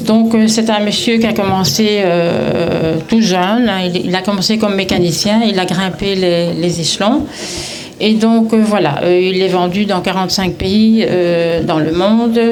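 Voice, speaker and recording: Amid noticeable background noise and audible room echo, a woman speaks at a fairly slow pace with fairly even intonation and very even loudness. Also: medium pitch for a woman. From Brussels, Belgium. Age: 70s. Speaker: retiree promoting a direct-sales business. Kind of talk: event testimony speech. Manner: halting, many hesitations.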